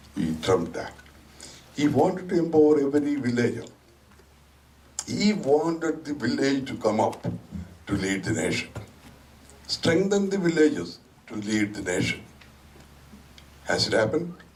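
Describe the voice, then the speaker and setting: A man speaks at a moderate pace in a fairly high pitch, his pitch swinging very widely, with long, frequent pauses, audible room echo and noticeable background noise. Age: 70s. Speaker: community speaker. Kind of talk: public speech.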